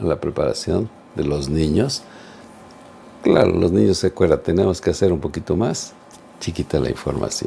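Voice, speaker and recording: Noticeable background noise is present throughout. Against it, a man speaks at a moderate pace. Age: 70s. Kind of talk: religious teaching talk.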